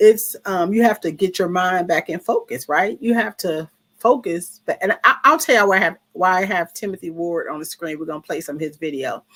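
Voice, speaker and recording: Using a plain, everyday voice, a woman of medium pitch talks at a fairly quick pace with hardly any pauses, lively intonation and big swings in loudness, in a dry, close sound with no echo. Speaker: vlogger. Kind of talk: casual livestream monologue. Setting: live stream from a room.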